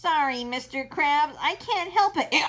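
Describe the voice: A woman's put-on character voice, high in pitch and at a fairly slow pace.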